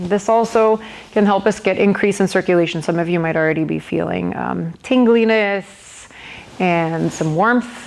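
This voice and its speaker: A woman with a plain, everyday voice speaks at a fairly slow pace, medium in pitch with ordinary pitch variation. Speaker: yoga instructor. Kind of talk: guided yoga class.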